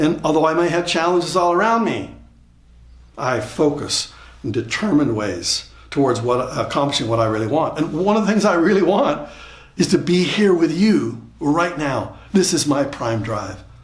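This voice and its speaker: A man with a fairly high pitch speaks in lively intonation, with vocal fry in his voice. Audible room echo surrounds the recording. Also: moderate pace. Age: 70s. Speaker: motivational speaker. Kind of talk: motivational talk. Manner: repeats words, halting starts.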